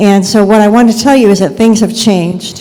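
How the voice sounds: Soft-spoken and dark, mellow in tone, a woman talks at a moderate pace and medium pitch, with audible room echo. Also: ordinary pitch variation.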